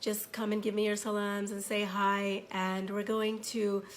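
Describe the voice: With audible room echo around her, a woman talks at a moderate pace and medium pitch, showing little pitch movement.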